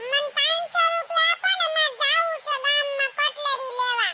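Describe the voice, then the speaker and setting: A woman squeaks in a cartoonish character voice at an extremely high pitch, with very wide pitch swings. Her loudness stays very even, and she talks at a fairly slow pace. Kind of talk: cartoon comedy.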